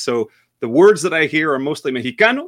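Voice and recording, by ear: A man's fairly high, fairly bright voice in an American accent, fairly quick and full of big pitch swings. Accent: American; Argentine when speaking Spanish.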